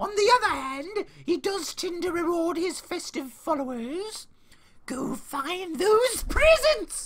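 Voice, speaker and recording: A put-on character voice, extremely high in pitch, at a fairly slow pace. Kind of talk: gameplay commentary, reading dialogue aloud. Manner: merry, whimsical.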